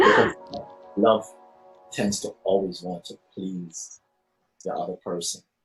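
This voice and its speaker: With music in the background, a man speaks at a very slow pace, with big swings in loudness and long, frequent pauses. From Jamaica. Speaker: poet. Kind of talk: interview answer.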